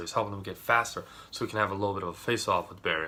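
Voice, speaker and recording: The man's voice sits at a fairly low pitch and has a bright, sharp tone. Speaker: YouTube TV show reviewer. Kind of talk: casual review monologue. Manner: fast; animated.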